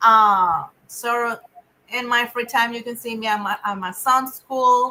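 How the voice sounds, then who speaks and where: With a Spanish accent, a woman speaks at a fairly slow pace with a fairly high pitch, a bright, sharp tone and fairly even intonation. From Venezuela. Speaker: nonprofit director. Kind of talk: interview. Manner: halting.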